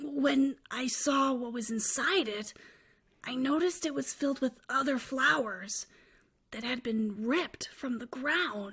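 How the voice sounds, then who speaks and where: In a cartoonish character voice, a female-sounding speaker talks at a fairly slow pace with a high pitch for a woman. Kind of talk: dark storytelling monologue.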